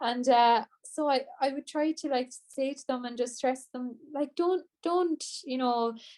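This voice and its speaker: A high-pitched woman's voice with an Irish accent, fairly slow with hardly any pauses, fairly even intonation and big swings in loudness. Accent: Irish (Clare). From Ireland, Co. Clare (Shannon). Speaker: traditional singer. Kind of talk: interview.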